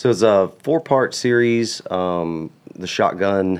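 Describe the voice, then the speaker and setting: With an American accent, a man talks fairly slowly in a very deep, low voice with ordinary pitch variation. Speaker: firearms instructor and cattle farmer. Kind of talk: casual chat. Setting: studio.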